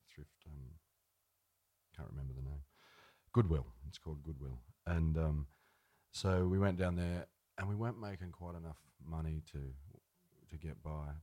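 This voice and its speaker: In an Australian accent, a man speaks at a moderate pace with a very deep, low pitch, a dark, mellow tone, ordinary pitch variation, long, frequent pauses and big swings in loudness. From rural New South Wales, Australia. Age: 30s. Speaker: singer-songwriter. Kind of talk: interview on stage. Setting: live event with audience.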